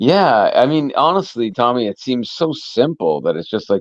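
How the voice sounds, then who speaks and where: Against a quiet background, a man with an ordinary speaking voice talks at a medium pitch and a moderate pace, with lively intonation. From Canada. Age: 40s. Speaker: musician. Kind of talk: casual interview chat.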